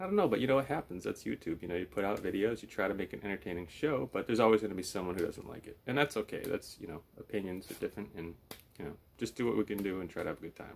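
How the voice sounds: A man talks at a very fast pace with lively intonation. His voice carries vocal fry and a slightly husky edge. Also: fairly low pitch for a man.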